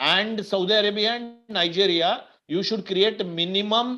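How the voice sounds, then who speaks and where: In a high, raised and projected voice with a bright, sharp tone, a man talks at a moderate pace with ordinary pitch variation. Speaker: finance mentor. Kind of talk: webinar Q&A.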